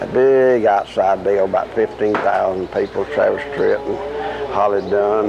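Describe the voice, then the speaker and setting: A man at a fairly slow pace, against noticeable background noise. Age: 60s. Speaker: country singer. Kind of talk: interview.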